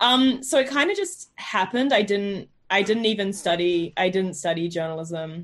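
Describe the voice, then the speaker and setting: A woman with a New Zealand accent speaks at a moderate pace with lively intonation. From New Zealand, South Island. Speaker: journalist. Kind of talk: interview.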